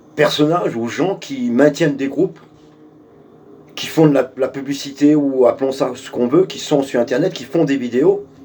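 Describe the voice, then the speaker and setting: With big swings in loudness, a man talks at a fairly high pitch over noticeable background noise. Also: ordinary pitch variation, moderate pace. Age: 60s. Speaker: political activist. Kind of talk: video address to supporters. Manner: hesitant, many fillers; forceful.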